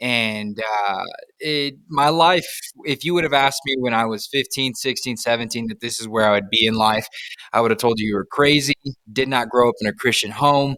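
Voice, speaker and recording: With an American accent, a man talks at a fairly quick pace in a bright, sharp tone, his pitch varying in an ordinary way. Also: medium pitch for a man. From Texas. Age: 20s. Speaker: youth pastor. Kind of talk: casual chat.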